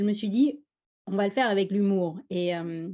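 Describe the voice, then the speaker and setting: A woman speaks with a strong Parisian accent at medium pitch and a fairly slow pace. Her tone is dark and mellow, with ordinary pitch variation. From France, Paris suburbs, teen years in Pondicherry. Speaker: former doctor, speaker on Franco-Indian identity. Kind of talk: personal testimony at a panel. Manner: animated.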